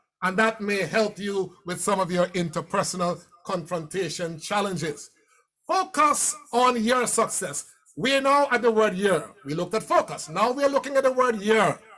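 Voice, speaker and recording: In an animated tone, a man with a high pitch raises and projects his voice with lively intonation. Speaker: motivational speaker. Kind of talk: keynote speech. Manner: fast.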